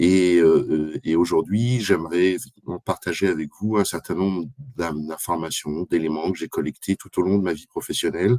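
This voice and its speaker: The dark, mellow tone carries fairly even intonation, and the sound is dry and close with no echo. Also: man, very deep, low pitch for a man, moderate pace. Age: 60s. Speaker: association development manager, speaker. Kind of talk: expert presentation. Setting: live video conference. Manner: halting, many fillers.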